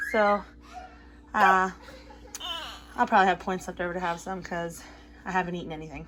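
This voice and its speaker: A woman talks at medium pitch with long, frequent pauses. Noticeable background noise can be heard. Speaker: mom vlogger. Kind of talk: casual vlog chat. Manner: chatty, many fillers.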